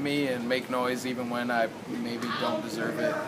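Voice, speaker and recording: The speaker has an American accent and a moderate pace. Background noise is noticeable. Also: man. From Michigan, US Midwest. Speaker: rapper. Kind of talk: casual interview. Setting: outdoors after a show.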